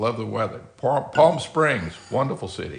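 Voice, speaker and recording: The speaker talks at a fairly slow pace in a Louisiana accent. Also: man. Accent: US Southern (Louisiana). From Louisiana, Baton Rouge. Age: 60s. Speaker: architect. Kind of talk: live stream chat. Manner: halting, many fillers.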